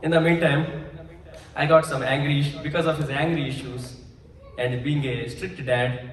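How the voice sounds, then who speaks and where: A man's fairly high voice in a Telugu accent, fairly even in intonation at a moderate pace with long, frequent pauses, amid audible room echo and noticeable background noise. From India, Andhra Pradesh village. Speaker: pastor. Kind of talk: testimony.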